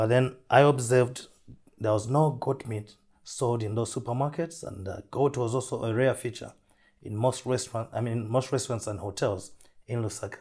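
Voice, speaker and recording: On a very clean recording with a silent background, a man at a medium pitch sounds somewhat breathy, keeping a moderate pace and fairly even intonation. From Zambia, rural south. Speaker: entrepreneur. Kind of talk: interview.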